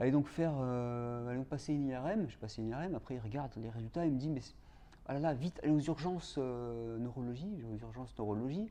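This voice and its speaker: Speaking very fast, a man uses a medium pitch with ordinary variation. His tone is dark and mellow. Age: 40s. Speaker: film director and patient partner. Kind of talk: testimony. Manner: halting, many hesitations and repetitions.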